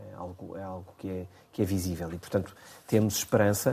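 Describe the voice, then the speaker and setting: A man's dark, mellow voice, fairly low in pitch, in a monotone, flat intonation. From Portugal. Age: 50s. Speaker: business association director. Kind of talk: radio interview. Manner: hesitant, frequent fillers and repetitions.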